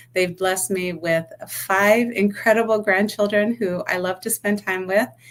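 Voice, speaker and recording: Against noticeable background noise, a woman talks at a moderate pace and a medium pitch, her intonation fairly even. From New York City, the Bronx. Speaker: accountant and business owner. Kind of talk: podcast interview.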